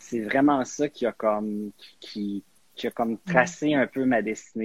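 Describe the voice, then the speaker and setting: Recorded very cleanly against a silent background, with a dry, close sound and no echo, a man uses a normal speaking voice at a medium pitch, a fairly slow pace and ordinary pitch variation. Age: 40s. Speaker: guest, media professional. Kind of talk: casual chat.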